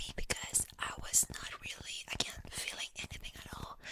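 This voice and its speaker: A man whispers in a relaxed tone at a fairly slow pace. Noticeable background noise can be heard. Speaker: ASMR creator. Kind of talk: ASMR ramble, whispered story time. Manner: soft, relaxed, rambling with hesitations.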